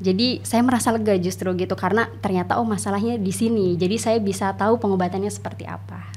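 Pauses barely occur. The delivery is very fast. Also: woman. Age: 30s. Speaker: doctor and tuberculosis survivor. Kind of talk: interview. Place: studio. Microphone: studio mic.

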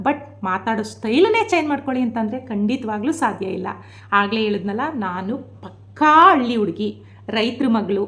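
Against noticeable background noise, a woman speaks at a fairly high pitch with lively intonation. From rural Mysore region, Karnataka. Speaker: vlogger. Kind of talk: vlog monologue. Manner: animated.

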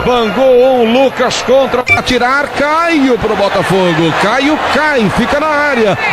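A man talks at a very slow pace with extremely high pitch and lively intonation. His loudness stays very even, and there is noticeable background noise. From Brazil. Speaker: radio sports announcer. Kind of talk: live radio football match commentary. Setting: radio broadcast from stadium.

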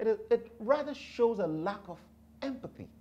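Here a man speaks. His tone is dark and mellow. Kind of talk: lecture-style talk to camera. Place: studio.

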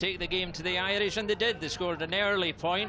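An animated, enthusiastic tone comes through over noticeable background noise. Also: man. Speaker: sports commentator. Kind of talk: live-style sports commentary recap. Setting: voiceover over match highlights. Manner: animated, brisk, enthusiastic play-by-play delivery.

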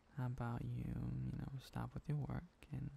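A man is speaking. His pace is fairly slow. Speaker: asmr voice actor playing boyfriend. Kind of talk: asmr boyfriend roleplay, whispered close-mic. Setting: close-mic audio recording. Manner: tender, sleepy, soothing.

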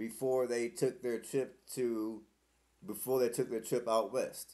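In a quiet background, a man talks at a fairly slow pace. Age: 40s. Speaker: vlogger. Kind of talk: casual monologue to camera. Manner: halting, with fillers and repeats. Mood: reflective, talks of parents. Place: home room. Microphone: webcam.

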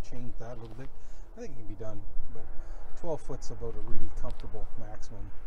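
The sound is dry, with no echo. Noticeable background noise can be heard. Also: man. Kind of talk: casual show-and-tell commentary. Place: open country. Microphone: phone near.

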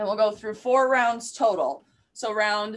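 A woman at a fairly slow pace. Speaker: fitness instructor. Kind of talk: tutorial. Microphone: camera far.

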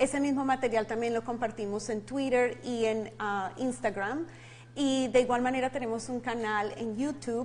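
Intonation stays fairly even as the speech moves at a moderate pace. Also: woman. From Colombia. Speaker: ministry leader and life coach; life coach. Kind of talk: interview. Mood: warm, smiling. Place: studio. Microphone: lapel.

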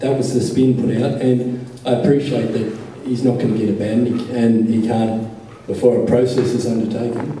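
A man speaks in a monotone, flat intonation. There is audible room echo and light background noise. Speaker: audience member. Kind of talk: audience comment at a panel discussion. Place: hall.

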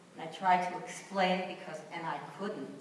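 Monotone, flat intonation at a moderate pace is heard with audible room echo and light background noise. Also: woman. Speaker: panelist. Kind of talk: personal reflection testimony. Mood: solemn, emotional recollection. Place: hall.

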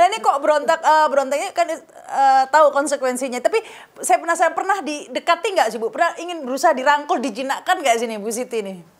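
A woman at a very fast pace with hardly any pauses, high pitch, lively intonation and big swings in loudness. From Indonesia. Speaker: news talk show host. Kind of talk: interview. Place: home room.

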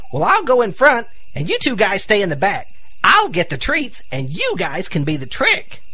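A man puts on a cartoonish character voice pitched high, speaking at a moderate pace. Background noise is noticeable. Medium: puppet show. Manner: wry, sarcastic, bossy.

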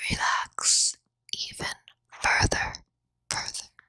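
A woman is speaking. She is whispering. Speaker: therapist and ASMR creator. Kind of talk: guided relaxation meditation. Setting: binaural recording, best with headphones. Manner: whispered, soft, slow. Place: home room. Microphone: handheld.

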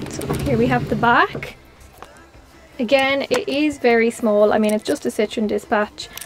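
Faint music plays behind a woman with a high-pitched voice and ordinary pitch variation. The sound is dry, with no echo. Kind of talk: casual vlog chat. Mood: cheerful, excited. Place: car.

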